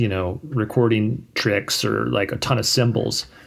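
A man with an American accent and an unremarkable speaking voice, at a fairly slow pace, with ordinary pitch variation. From Virginia (Richmond, Fredericksburg). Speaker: musician. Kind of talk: casual chat.

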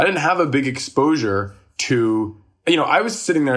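In a somewhat breathy voice, a man delivers his words with lively intonation. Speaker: musician and comedian. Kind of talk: casual chat.

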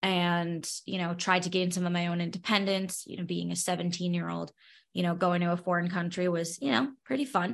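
A woman speaks with a New York accent at a medium pitch. Her tone is bright and sharp. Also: quiet background. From New York, Brooklyn. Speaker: podcaster and special education teacher, Lyme patient. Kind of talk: interview.

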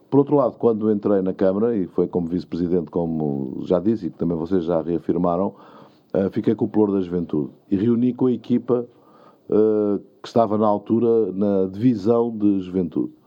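A man talks at a fairly quick pace in a fairly low pitch, with an ordinary speaking voice. His pitch varies in an ordinary way. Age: 60s. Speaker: mayor. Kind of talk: interview.

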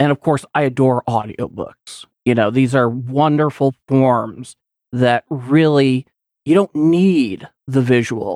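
Speaking at a very slow pace, the man has a medium pitch. His pitch varies in an ordinary way. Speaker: podcaster and editor. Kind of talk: casual chat.

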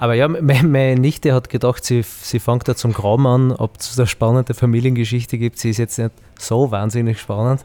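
A man's dark, mellow, medium-pitched voice with fairly even intonation and a moderate pace, in a dry, close sound with no echo. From Austria, southern Styria (Heimschuh). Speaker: winemaker. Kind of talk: casual chat. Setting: outdoors.

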